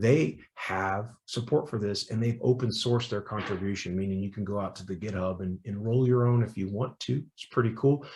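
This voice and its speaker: Somewhat breathy and fairly low in pitch, a man speaks with hardly any pauses. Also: ordinary pitch variation. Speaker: security professional giving a tech talk. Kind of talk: technical talk at meetup. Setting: online call. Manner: fast; animated.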